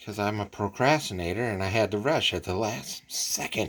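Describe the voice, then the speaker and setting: This man's voice is quiet and fairly low. He talks at a fairly slow pace. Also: very clean recording, silent background. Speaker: model kit hobbyist YouTuber. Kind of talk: casual show-and-tell vlog. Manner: halting, with fillers; quiet, hushed.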